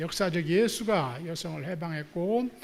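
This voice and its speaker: A man with a high pitch talks at a moderate pace, varying his pitch in an ordinary way. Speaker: theology professor. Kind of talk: lecture. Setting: church hall with audience. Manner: halting with many fillers.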